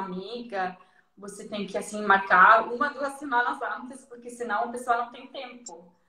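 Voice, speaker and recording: Speaking in a fairly high pitch, a woman keeps to a moderate pace. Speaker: guest. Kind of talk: casual chat.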